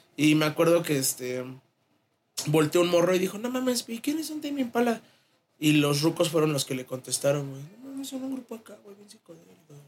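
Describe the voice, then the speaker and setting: A high-pitched man with very wide pitch swings, big swings in loudness and a fairly quick pace. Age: young. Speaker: podcast co-host. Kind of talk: casual chat.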